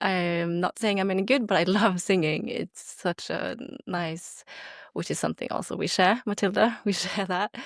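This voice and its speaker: Recorded very cleanly against a silent background, with a dry, close sound and no echo, a woman with a Norwegian accent speaks at a moderate pace and a medium pitch with ordinary pitch variation. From Norway. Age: 30s. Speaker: podcast co-host. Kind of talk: casual chat.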